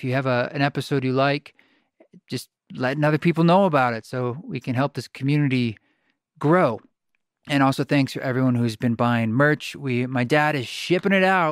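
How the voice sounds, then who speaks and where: A man's unremarkable speaking voice, fairly high in pitch, with ordinary pitch variation at a moderate pace. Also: dry, close sound with no echo. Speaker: podcast host and musician. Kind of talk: casual interview conversation.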